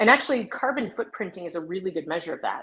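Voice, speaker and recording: Speaking in an ordinary speaking voice, a woman with an American accent uses a fairly low pitch and lively intonation. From US Southwest, southwest New Mexico. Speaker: economist and sustainability consultant. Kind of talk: interview.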